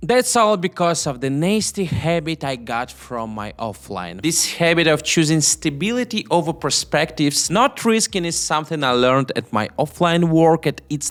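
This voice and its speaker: A man with a non-native accent speaks in a fairly high pitch, his voice making very wide pitch swings. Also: hardly any pauses. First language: not English. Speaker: YouTube entrepreneur. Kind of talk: talk to camera about making money online.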